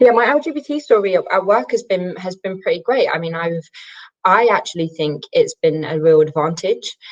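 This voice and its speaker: The woman's medium-pitched voice swings very widely in pitch. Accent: North London. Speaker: panelist, workplace diversity and inclusion lead. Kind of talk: webinar panel discussion. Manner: fast.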